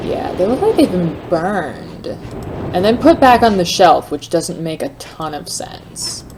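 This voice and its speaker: Over noticeable background noise, a woman speaks at a medium pitch with lively intonation, big swings in loudness and hardly any pauses. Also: fairly slow pace. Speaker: let's play gamer. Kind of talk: casual gameplay commentary.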